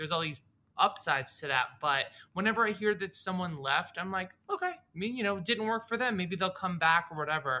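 This voice is raised and projected, with a bright, sharp tone, ordinary pitch variation and a fairly quick pace. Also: man, high pitch for a man. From US South, Boca Raton, Florida. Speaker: actor and improv comedian. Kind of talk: casual chat.

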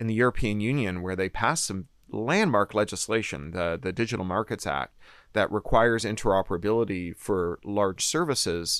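A man with a fairly low pitch speaks with lively intonation on a very clean recording with a silent background. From Canada, Toronto. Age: 50s. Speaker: novelist. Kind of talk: interview. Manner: animated.

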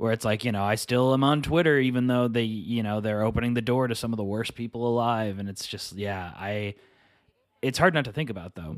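A man's fairly quick delivery at medium pitch, with ordinary pitch variation and an ordinary speaking voice. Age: 30s. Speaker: writer and comedian. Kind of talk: casual chat.

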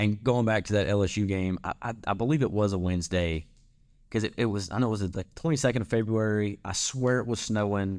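A man's fairly low voice with a Louisiana accent, at a fairly quick pace with ordinary pitch variation, over a quiet background. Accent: Louisiana Southern. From North Central Louisiana. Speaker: student podcast host. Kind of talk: casual interview.

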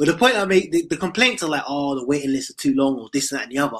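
A man talks at a very fast pace in a British accent, his pitch fairly high. His tone is bright and sharp, with very wide pitch swings. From United Kingdom. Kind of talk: call-in discussion.

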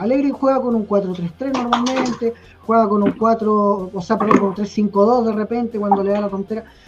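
A Chilean accent at a moderate pace, with hardly any pauses and noticeable background noise. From Chile (Temuco, south). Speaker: football fan panelist. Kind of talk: casual chat.

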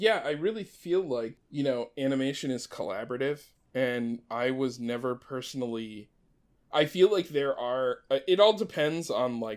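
This man has an unremarkable speaking voice at a medium pitch, with an American accent and lively intonation. He talks at a moderate pace in a very clean recording with a silent background. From US, Maryland. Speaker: animator and showrunner. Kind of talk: casual chat.

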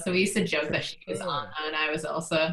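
A woman speaks over noticeable background noise. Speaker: social media manager, new team member. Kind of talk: casual chat.

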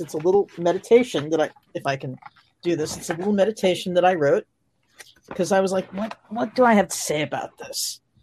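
The recording has a dry, close sound with no echo. It carries an ordinary speaking voice with ordinary pitch variation. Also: woman. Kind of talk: guided meditation. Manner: slow, calm, soothing, measured.

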